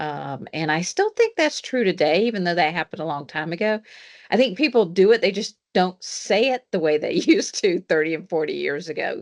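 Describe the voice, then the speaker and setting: Recorded dry and close with no echo over a quiet background, a woman talks at a fairly quick pace with a medium pitch and lively intonation. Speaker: engineering professor. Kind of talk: panel discussion.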